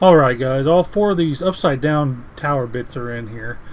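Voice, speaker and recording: Noticeable background noise behind a man with a fairly high pitch and lively intonation. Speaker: Minecraft YouTuber and streamer. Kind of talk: gameplay commentary. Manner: halting, many restarts and fillers.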